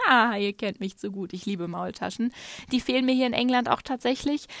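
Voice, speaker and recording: In a very clean recording with a silent background and a dry, close sound with no echo, a woman talks at a fairly quick pace with a fairly high pitch, ordinary pitch variation and vocal fry. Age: 30s. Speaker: podcaster, digital nomad. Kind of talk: casual monologue. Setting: hotel room under a duvet at night.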